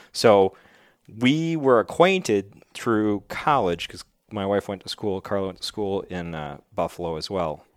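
An unremarkable speaking voice from a man with an American accent, fairly low in pitch, fairly slow, with lively intonation and big swings in loudness, in a very clean recording with a silent background. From western New York. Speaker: game warden and army veteran. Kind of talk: interview.

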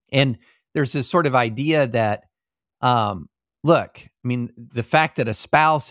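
A man with a plain, everyday voice, ordinary pitch variation and a moderate pace, in a dry, close sound with no echo on a very clean recording with a silent background. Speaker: podcast co-host on law and politics. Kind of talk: casual chat and interview.

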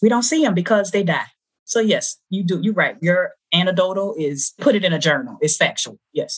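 A somewhat breathy woman's voice at medium pitch, moderate pace and lively intonation. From New Orleans. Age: 40s. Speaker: academic and social justice advocate. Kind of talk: casual chat.

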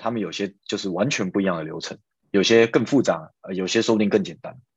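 This man speaks very fast. His voice sits fairly low. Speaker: software engineer. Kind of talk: casual interview. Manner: hesitant, many fillers.

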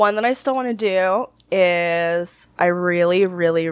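Here a woman has a normal speaking voice, fairly low in pitch. Her intonation is lively. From Canada. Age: 20s. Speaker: adult film performer. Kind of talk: interview.

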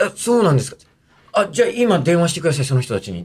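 A man speaks at a very fast pace. His pitch swings very wide. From Japan, western Tokyo (Fussa). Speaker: comedian. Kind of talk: casual chat.

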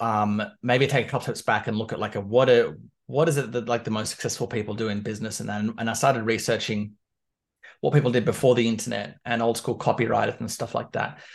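A man with an Australian accent speaks at a very fast pace and a medium pitch. His intonation is fairly even, and the background is quiet. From Canberra, Australia. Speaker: business coach. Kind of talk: casual interview.

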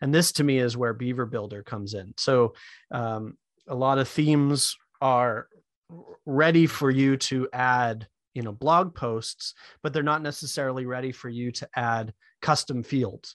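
In a plain, everyday voice with an American accent, a man talks at a fairly slow pace in a medium pitch with ordinary pitch variation, recorded with a dry, close sound, no echo and a quiet background. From US Northeast, Maine. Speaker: web developer. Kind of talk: podcast interview.

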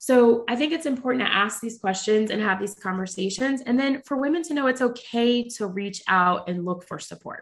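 Her voice is an unremarkable speaking voice, with a fairly high pitch, ordinary pitch variation, a moderate pace and hardly any pauses. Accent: American. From US South, Charlotte, North Carolina. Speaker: radiation oncologist and entrepreneur. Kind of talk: interview conversation.

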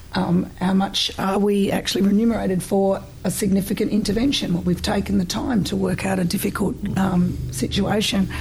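Against noticeable background noise, a woman speaks at a fairly quick pace with very even loudness. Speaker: pharmacist and trainer. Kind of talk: interview, casual conversation.

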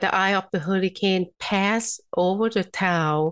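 With a Thai accent, a woman of medium pitch speaks with ordinary pitch variation, recorded with a dry, close sound and no echo over a quiet background. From Thailand. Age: 50s. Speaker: physician and energy healer. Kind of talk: interview.

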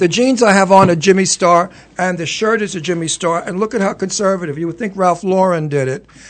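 With a New York accent, a man speaks fairly quickly in a high voice, his pitch varying in an ordinary way. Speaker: television talk show host. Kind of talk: casual chat. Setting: studio. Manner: animated.

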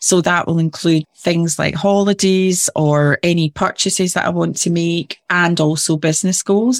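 Heard on a very clean, dry and close recording with no echo and a silent background, a woman with a Glasgow accent speaks at a moderate pace and fairly low pitch, with very even loudness and fairly even intonation. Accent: Scottish (Glasgow area). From Scotland, near Glasgow. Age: 50s. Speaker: business advisor and motivational speaker. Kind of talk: interview conversation.

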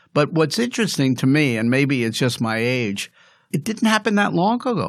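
In a very clean recording with a silent background, a man speaks at a fairly high pitch with very wide pitch swings. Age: 70s. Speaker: health economist and professor. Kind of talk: podcast interview.

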